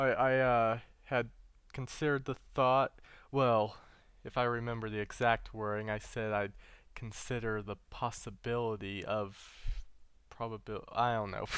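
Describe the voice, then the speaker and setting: In a very clean recording with a silent background, a man speaks fairly slowly at a medium pitch with monotone, flat intonation and long, frequent pauses. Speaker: gaming video creator. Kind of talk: gameplay commentary. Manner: halting, many fillers and repetitions.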